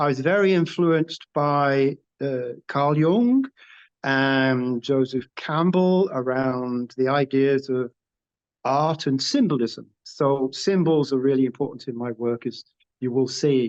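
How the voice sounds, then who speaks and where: Very slowly and with a northern English accent, a man with a fairly high voice and ordinary pitch variation speaks in a dry, close sound with no echo over a quiet background. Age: 70s. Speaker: artist. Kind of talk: interview.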